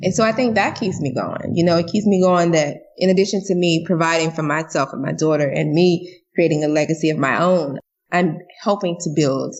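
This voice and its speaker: With an American accent, a woman speaks at a moderate pace and a fairly low pitch. Her intonation is fairly even, and vocal fry shows through. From Jacksonville, Florida (early childhood in Louisiana). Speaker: business coach and entrepreneur. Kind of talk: casual podcast interview.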